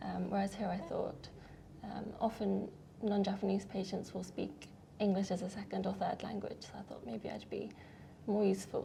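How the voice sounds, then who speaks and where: Speaking with a British accent, a woman keeps to a moderate pace. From UK. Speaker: doctor. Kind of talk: interview.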